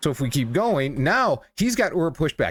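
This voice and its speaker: A fairly quick-paced man with very wide pitch swings, on a very clean recording with a silent background. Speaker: sumo commentator. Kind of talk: video breakdown commentary. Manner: casual, hesitant with fillers.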